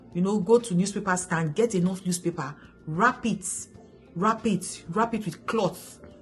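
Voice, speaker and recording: A woman speaks fairly slowly in an animated tone. Her pitch is medium and her voice somewhat breathy. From Nigeria. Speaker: vlogger. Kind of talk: casual vlog advice.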